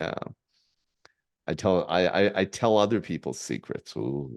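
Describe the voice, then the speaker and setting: A man talks at a fairly slow pace with vocal fry. His intonation is lively. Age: 60s. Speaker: entrepreneur and presidential candidate. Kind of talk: casual chat. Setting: podcast interview. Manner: halting, repeats words.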